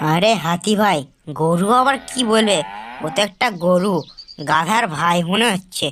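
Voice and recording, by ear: A cartoonish character voice, female-sounding and medium in pitch, at a moderate pace.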